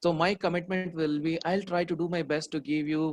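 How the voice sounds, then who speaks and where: The sound is dry and close with no echo as a man with an unremarkable speaking voice and a fairly high pitch talks at a moderate pace. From India, Hyderabad. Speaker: memory trainer. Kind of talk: online workshop talk. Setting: online video session.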